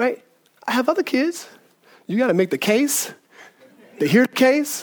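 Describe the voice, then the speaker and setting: At an extremely high pitch, a man speaks in an animated tone with lively intonation and a fairly slow pace. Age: 40s. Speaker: pastor. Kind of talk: sermon. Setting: church.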